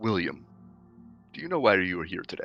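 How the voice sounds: Faint music is in the background as a man does a booming, put-on character voice. His pitch is fairly low and his pace fairly quick.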